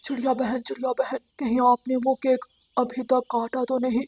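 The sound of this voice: A cartoonish character voice speaks at a fairly high pitch with monotone, flat intonation. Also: moderate pace.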